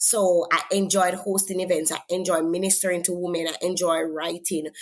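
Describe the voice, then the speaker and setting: The voice has a Jamaican accent and moves at a moderate pace. Its intonation is flat and monotone. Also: woman, fairly low pitch for a woman. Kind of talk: interview testimony.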